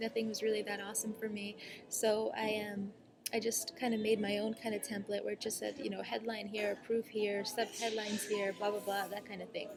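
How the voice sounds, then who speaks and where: Against noticeable background noise, a woman speaks at a fairly quick pace in a fairly high pitch with monotone, flat intonation. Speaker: online marketing coach. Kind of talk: casual vlog tutorial. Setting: cafe, talking to laptop. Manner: fast; filler-heavy, many ums.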